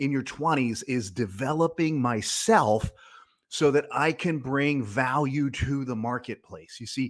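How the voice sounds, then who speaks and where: Speaking fairly slowly at a medium pitch, a man uses lively intonation in a very clean recording with a silent background. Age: 50s. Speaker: financial planner and podcast host. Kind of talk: podcast monologue. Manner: energetic.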